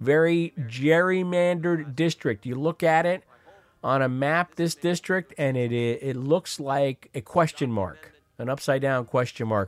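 In a normal speaking voice, a man with a fairly high pitch talks at a fairly slow pace, the sound dry and close with no echo. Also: ordinary pitch variation. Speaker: radio host. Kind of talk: live call-in radio show, casual news commentary. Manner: wry, sardonic, chatty.

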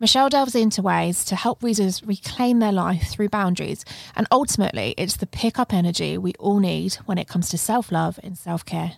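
In a very clean recording with a silent background and a dry, close sound with no echo, a woman with a British accent talks at a fairly quick pace with hardly any pauses. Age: 20s. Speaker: podcast host. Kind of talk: casual interview conversation; scripted podcast intro. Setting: studio.

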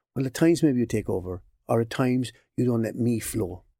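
In a Cork accent, a man speaks at a fairly quick pace and medium pitch with a dark, mellow tone. The sound is dry and close with no echo, in a very clean recording with a silent background. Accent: Irish, Cork. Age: 60s. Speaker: occupational psychologist. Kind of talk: interview.

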